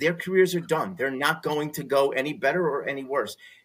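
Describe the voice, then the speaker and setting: Here is a man with a fairly high pitch and ordinary pitch variation, in an ordinary speaking voice. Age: 50s. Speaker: sports card collector. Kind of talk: casual interview chat.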